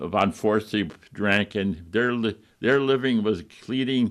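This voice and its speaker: Against a quiet background, a man with an upstate New York accent speaks fairly slowly with ordinary pitch variation. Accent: upstate New York American. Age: 90s. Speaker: retired doctor reminiscing. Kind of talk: interview reminiscence. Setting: TV talk show. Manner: halting with many fillers.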